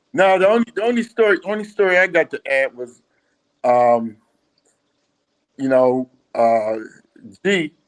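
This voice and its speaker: A man with a Philadelphia accent talks at a fairly slow pace in a high voice, his pitch swinging very widely, with long, frequent pauses and a dry, close sound with no echo. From Philadelphia, US. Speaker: former team manager. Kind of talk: casual chat.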